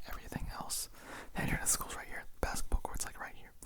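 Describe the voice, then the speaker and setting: A man whispering. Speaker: ASMR creator. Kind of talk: scary story reading, ASMR. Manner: casual, relaxed, conversational.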